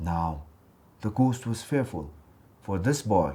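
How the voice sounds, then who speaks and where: The voice has a dark, mellow tone and sounds somewhat breathy. It moves at a moderate pace with lively intonation. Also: man. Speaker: actor, storyteller. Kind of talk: children's folktale storytelling, read aloud.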